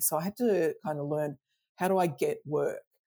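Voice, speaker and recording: At a moderate pace, a woman speaks in an Australian accent with a fairly low pitch. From Melbourne, Australia. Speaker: design consultant and author. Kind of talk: casual interview chat. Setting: video call. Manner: relaxed, humorous.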